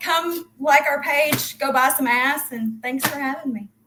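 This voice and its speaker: A woman in a Southern US accent speaks with a high pitch and a bright, sharp tone. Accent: American country. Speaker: crypto project team member. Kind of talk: casual interview. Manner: fast.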